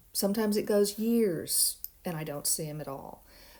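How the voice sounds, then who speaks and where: A woman talks at a moderate pace with a dark, mellow tone. Her medium pitch shows ordinary variation. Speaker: biology lab instructor. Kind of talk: recorded lecture. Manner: casual, with filler words; mumbling at times.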